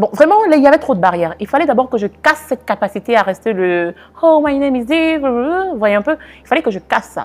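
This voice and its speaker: A woman's high voice with lively intonation and a slight non-native accent, fairly quick, over music in the background. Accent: slight foreign-sounding accent in French. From Cameroon. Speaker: life and business coach. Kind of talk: interview testimony.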